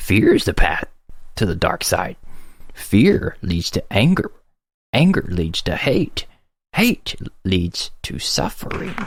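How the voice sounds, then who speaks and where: A creaky put-on character voice moves at a fairly slow pace, broken by long, frequent pauses. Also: man, fairly high pitch for a man. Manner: oddly phrased, inverted syntax.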